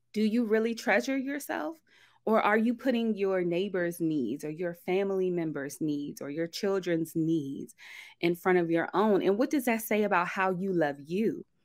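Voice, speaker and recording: On a very clean recording with a silent background, a woman with an unremarkable speaking voice talks at a moderate pace and medium pitch, with lively intonation. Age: 30s. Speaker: breast cancer survivor. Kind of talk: testimony.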